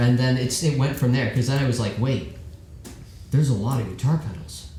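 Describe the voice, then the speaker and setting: Amid noticeable background noise and audible room echo, a man talks at a fairly quick pace with a medium pitch and ordinary pitch variation. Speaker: rock band vocalist. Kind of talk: casual chat. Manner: animated.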